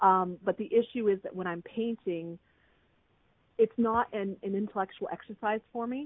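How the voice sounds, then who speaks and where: A woman with a plain, everyday voice, fairly high in pitch, at a moderate pace, with ordinary pitch variation and big swings in loudness. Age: 40s. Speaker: artist and author. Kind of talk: casual chat; guided meditation.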